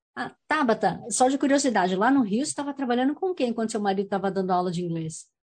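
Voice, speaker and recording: Her fairly high, somewhat breathy voice rushes along at a very fast pace with hardly any pauses. The woman's pitch swings very widely over a quiet background. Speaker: community radio host and actress. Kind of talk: interview.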